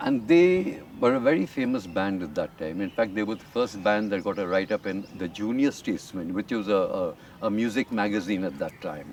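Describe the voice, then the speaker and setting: Against noticeable background noise, a man with a fairly low pitch talks at a fairly quick pace with lively intonation and hardly any pauses. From India (Lucknow, Patna, Kolkata). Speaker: rock bass player. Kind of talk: interview.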